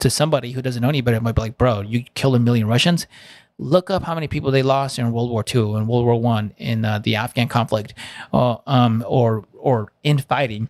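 A man with a Spanish accent speaks at a fairly quick pace and a medium pitch, with ordinary pitch variation. The recording is very clean and dry, close with no echo, over a silent background. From Southern California. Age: 30s. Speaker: Army Ranger veteran. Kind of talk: casual podcast interview. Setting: studio. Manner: casual, profane.

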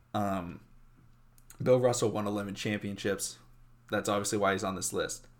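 Fairly even intonation marks this man's fairly low-pitched speech. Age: 20s. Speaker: sports podcast host. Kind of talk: casual solo sports commentary. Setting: home recording in his room.

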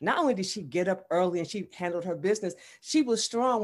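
In a very clean recording with a silent background, a woman of medium pitch speaks at a moderate pace with lively intonation. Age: 60s. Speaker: fitness trainer and ministry founder. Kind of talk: interview.

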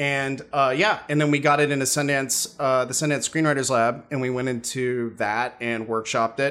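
With an American accent, a man speaks fairly slowly at a medium pitch in a bright, sharp tone with fairly even intonation. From US, New York. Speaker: filmmaker and graphic novel author. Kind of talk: casual interview chat.

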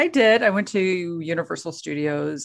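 A woman talks at a fairly slow pace with lively intonation. Her pitch is medium, and she has a normal speaking voice. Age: 40s. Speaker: podcast co-host. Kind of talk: casual chat.

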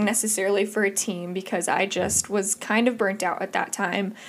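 A woman at medium pitch with a Midwestern US accent, on a very clean recording with a silent background. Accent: US Midwest. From Indiana. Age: 20s. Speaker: podcast host. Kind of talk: solo podcast monologue. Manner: animated.

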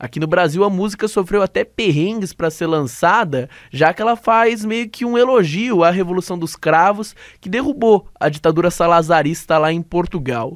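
On a very clean recording with a silent background, a man with a high pitch speaks at a moderate pace with lively intonation. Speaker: student radio host. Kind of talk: radio show hosting. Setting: radio studio.

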